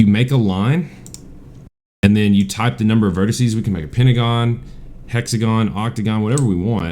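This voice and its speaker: A dark, mellow voice at a fairly quick pace, with audible room echo. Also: man. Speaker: high school math teacher. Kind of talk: tutorial. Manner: casual, many fillers.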